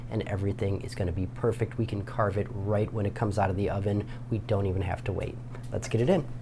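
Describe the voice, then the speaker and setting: There is noticeable background noise. The speaker's tone comes across as animated. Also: man. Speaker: cooking show host. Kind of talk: cooking tutorial.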